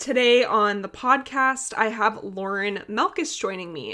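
Against a quiet background, a woman talks in a fairly high pitch with ordinary pitch variation and an ordinary speaking voice. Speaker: podcast host, hockey partner. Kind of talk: casual interview chat. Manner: laughs often.

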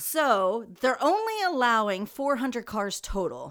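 This woman's voice sits fairly high and moves in very wide pitch swings. Her pace is fairly slow. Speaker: podcast co-host. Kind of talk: casual chat. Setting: living in Jeju, Korea.

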